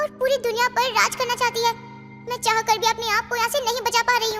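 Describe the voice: In a cartoonish character voice, a female-sounding speaker talks very fast at an extremely high pitch over clear music in the background.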